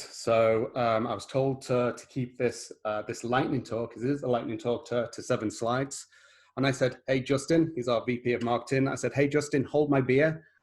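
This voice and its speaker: A man with a British accent speaks at a medium pitch, somewhat breathy. His pace is moderate and his intonation fairly even. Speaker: solutions architect. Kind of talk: webinar presentation. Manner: halting.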